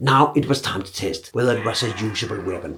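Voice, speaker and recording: Talking at a moderate pace, a man with a Danish accent uses lively intonation. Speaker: archer. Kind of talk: documentary narration.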